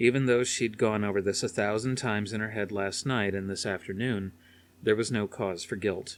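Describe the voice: This is plain reading aloud. The text is read plainly.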